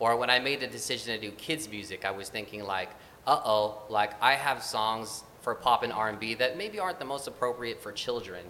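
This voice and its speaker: A man at a moderate pace, with ordinary pitch variation and noticeable background noise. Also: medium pitch for a man. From Filipino-American. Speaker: actor and children's musician. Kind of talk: interview.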